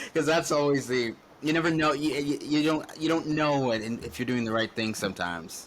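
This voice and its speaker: Fairly high pitch and ordinary pitch variation at a moderate pace, from a man with a plain, everyday voice. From western Canada. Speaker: podcast host. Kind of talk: casual chat.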